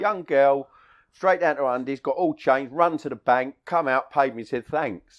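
A man with a South London accent speaks at a fairly high pitch. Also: ordinary pitch variation, moderate pace. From Bermondsey, South London. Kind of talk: interview answer, anecdote. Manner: plain-speaking, casual.

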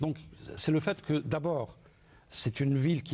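This man talks at a moderate pace in a dark, mellow, somewhat breathy voice with ordinary pitch variation. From Algeria, Sétif; Algeria. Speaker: first-time memoir author; guest. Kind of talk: studio interview. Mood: warm, nostalgic. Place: studio. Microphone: lapel.

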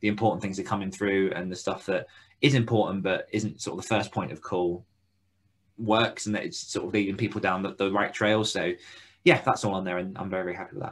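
A man speaks in a fairly low voice with fairly even intonation. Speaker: podcast co-host for authors. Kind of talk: casual chat. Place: home room.

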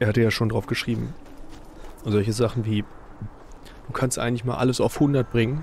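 Over noticeable background noise, a man at a medium pitch talks at a fairly quick pace with fairly even intonation and long, frequent pauses. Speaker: gaming YouTuber. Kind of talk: casual let's play commentary.

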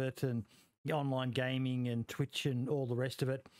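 Against a quiet background, a man speaks at a fairly slow pace in a dry sound with no echo. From Australia. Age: 40s. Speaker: podcast host. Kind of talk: casual interview. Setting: live stream. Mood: friendly, grateful. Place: home room. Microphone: headset.

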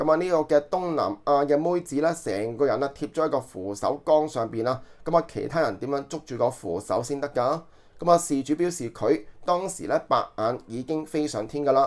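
A man with an ordinary speaking voice, fairly high-pitched, at a moderate pace, on a very clean recording with a silent background. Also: ordinary pitch variation. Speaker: online news commentator. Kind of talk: news commentary monologue. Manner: filler-heavy, conversational.

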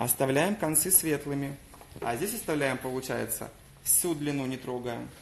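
Light background noise sits under a man's fairly high voice, which moves at a moderate pace with ordinary pitch variation. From Crimea, Simferopol; Crimea. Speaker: hair colourist. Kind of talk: live-stream hair colouring demonstration. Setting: hair salon. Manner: animated. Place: shop. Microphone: phone near.

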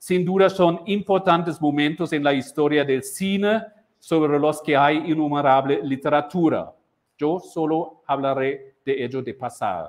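Ordinary pitch variation from a man at a fairly slow pace. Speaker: university lecturer. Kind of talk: lecture. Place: classroom. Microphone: lapel.

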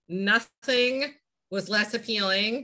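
Against a quiet background, a woman with a slight Boston accent speaks in a bright, sharp tone with ordinary pitch variation. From Massachusetts, US. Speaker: flooring company president; guest. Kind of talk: interview. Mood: relaxed, conversational. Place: home room. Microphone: video call.

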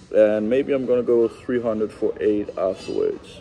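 Faint music plays in the background. A man is speaking. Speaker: vlogger. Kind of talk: casual vlog chat. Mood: relaxed, playful. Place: gym. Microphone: phone near.

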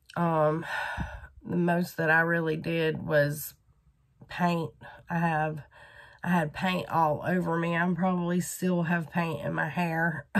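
In a Southern US accent, a woman talks very slowly in a flat monotone, with long, frequent pauses. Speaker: crochet vlogger. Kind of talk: casual vlog. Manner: casual with many fillers.

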